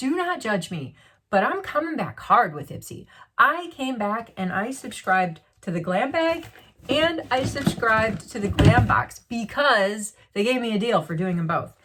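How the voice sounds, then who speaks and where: A fairly high-pitched woman's voice at a moderate pace, animated in tone, with very wide swings in pitch. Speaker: beauty vlogger. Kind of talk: unboxing vlog.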